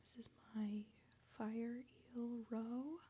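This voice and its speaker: The voice has a dark, mellow tone, is somewhat breathy and keeps a fairly even intonation. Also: woman. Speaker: ASMR creator. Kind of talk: ASMR game tour, casual talk. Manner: soft-spoken, semi-whispered.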